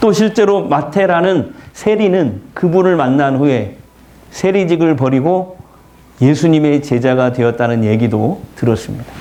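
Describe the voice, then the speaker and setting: A man at a fairly high pitch and fairly slow pace, his intonation lively and loudness very even, with audible room echo and noticeable background noise. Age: 70s. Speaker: pastor. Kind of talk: sermon.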